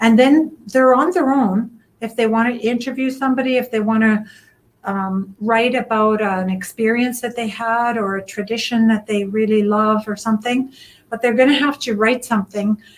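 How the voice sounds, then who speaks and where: Speaking at a moderate pace, a woman with an unremarkable speaking voice keeps a fairly high pitch and fairly even intonation. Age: 60s. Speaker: literacy project organizer. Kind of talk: interview.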